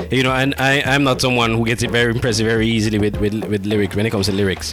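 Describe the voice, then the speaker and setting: Music plays in the background. A man speaks at a very fast pace with ordinary pitch variation. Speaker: radio host. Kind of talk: radio show hosting.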